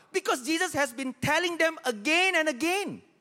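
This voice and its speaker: With a raised, projected voice, a man talks at a moderate pace in a bright, sharp, animated tone, his pitch swinging very widely. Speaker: pastor. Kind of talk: sermon. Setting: church with live congregation. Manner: repeats key lines for emphasis with urgent, rhythmic, exhorting cadence.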